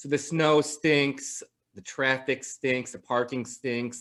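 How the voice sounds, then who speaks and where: A man with an American accent speaks at a very slow pace in a bright, sharp tone, his medium pitch held in fairly even intonation. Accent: slight Midwestern, comes out at times. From Chicago area, northern suburbs. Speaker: podcast host. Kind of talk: casual interview chat.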